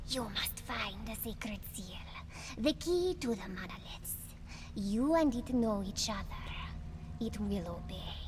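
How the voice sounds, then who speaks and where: In a put-on character voice, a woman speaks at a fairly high pitch and a fairly slow pace. Loud background noise sits behind her. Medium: machinima. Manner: cryptic, solemn, refers to herself as "she".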